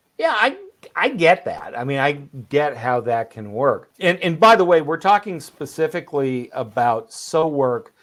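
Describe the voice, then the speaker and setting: Using a normal speaking voice, a man talks at a moderate pace with a fairly high pitch and lively intonation. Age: 60s. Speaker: podcast co-host, remote work expert. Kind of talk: casual podcast conversation.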